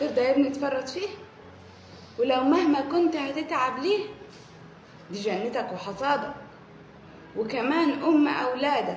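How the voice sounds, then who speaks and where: Speaking in an Upper Egyptian accent, a woman with a high pitch and lively intonation talks at a fairly slow pace, with long, frequent pauses. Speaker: poet. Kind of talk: poetry reading.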